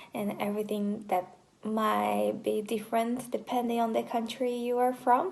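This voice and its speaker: A moderate pace in a Portuguese accent. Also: woman, fairly high pitch for a woman. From Brazil, countryside of São Paulo state. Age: 20s. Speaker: vlogger, university student. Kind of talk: casual self-introduction vlog. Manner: hesitant, with fillers.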